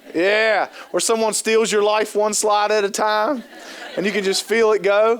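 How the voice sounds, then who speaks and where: A high-pitched man speaks with a slight Appalachian Ohio accent, his tone animated and his loudness very even. Noticeable background noise sits behind him. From US Appalachia, southern Ohio. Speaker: trainer and keynote speaker. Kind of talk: conference training talk. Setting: stage with audience. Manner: fast.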